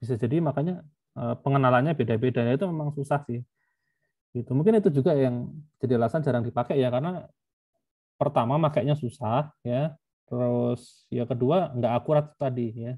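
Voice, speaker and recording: A man with a Javanese accent speaks fairly quickly at a medium pitch, his dark, mellow tone somewhat breathy, with ordinary pitch variation on a very clean recording with a silent background. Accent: Javanese (medok). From Yogyakarta, Java, Indonesia. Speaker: university lecturer. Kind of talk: lecture. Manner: casual, filler-heavy.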